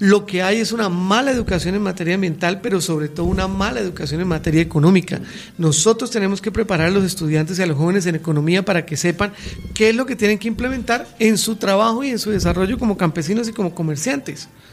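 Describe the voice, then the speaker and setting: Very fast pace and ordinary pitch variation amid noticeable background noise. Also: man, high pitch for a man. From Colombia, Santander. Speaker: political campaign director. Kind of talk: radio interview. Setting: radio studio.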